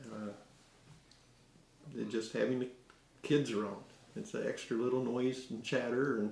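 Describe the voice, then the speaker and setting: With vocal fry and monotone, flat intonation, a man speaks at a moderate pace with long, frequent pauses in audible room echo. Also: medium pitch for a man. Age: 60s. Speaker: gardener. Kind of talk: casual interview. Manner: halting.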